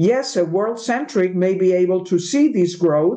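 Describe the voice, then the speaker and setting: Speaking in a Spanish accent at medium pitch, a woman with a dark, mellow tone uses lively intonation at a fairly slow pace. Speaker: interviewer. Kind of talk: interview. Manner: halting.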